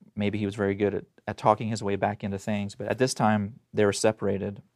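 On a very clean recording with a silent background, a man with an American accent speaks in a monotone, flat intonation. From Oklahoma, US. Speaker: domestic violence survivor and speaker. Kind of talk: interview, personal testimony. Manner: fast.

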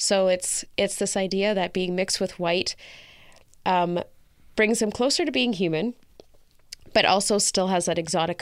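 A woman's medium-pitched voice in a Canadian accent, at a moderate pace with ordinary pitch variation and long, frequent pauses, in a very clean recording with a silent background. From rural Canada. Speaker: founder of a mixed-race community resource centre. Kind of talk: interview.

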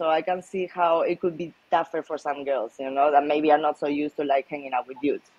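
A woman speaks with a Spanish accent. Her pace is fairly quick. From Malaga, Spain. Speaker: professional poker player. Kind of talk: casual interview chat.

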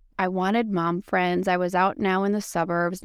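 A woman with an American accent uses an ordinary speaking voice, fairly low in pitch with fairly even intonation, on a very clean recording with a silent background. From Wisconsin, US Midwest. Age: 40s. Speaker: podcast guest in recovery, mother. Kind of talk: casual interview, personal testimony.

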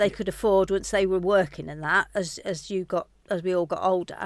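A woman with a British accent and fairly even intonation on a very clean recording with a silent background. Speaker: host's mother. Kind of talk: casual interview chat.

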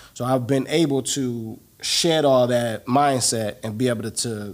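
An unremarkable speaking voice in an American accent, delivered at a moderate pace. The intonation stays fairly even. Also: man. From Cleveland, Ohio. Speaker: real estate investor. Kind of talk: interview. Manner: casual.

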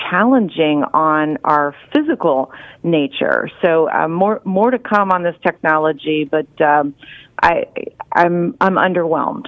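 A woman's plain, everyday voice, fairly low in pitch, with ordinary pitch variation and a fairly slow pace. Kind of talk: radio interview.

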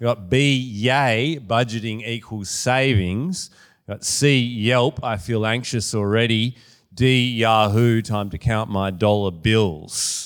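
On a very clean recording with a silent background, the speech moves at a very slow pace with ordinary pitch variation. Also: man, medium pitch for a man. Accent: Australian. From Western Australia, Perth. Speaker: author and small business owner, guest speaker. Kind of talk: sermon. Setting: church with audience. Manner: casual with many fillers.

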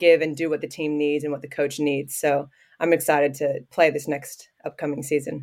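On a very clean recording with a silent background, a woman with an American accent and a very deep, low pitch talks at a fairly quick pace with fairly even intonation. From US Midwest (southwest Ohio). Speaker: professional basketball player. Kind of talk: casual interview.

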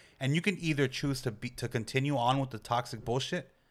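With an American accent, the words come out at a very fast pace. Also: man. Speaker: musician. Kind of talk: casual chat. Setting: home studio.

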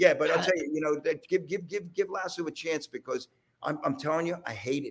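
At a fairly quick pace, a man with a Philadelphia accent talks with big swings in loudness. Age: 60s. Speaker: rock drummer. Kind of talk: casual chat. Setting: video call.

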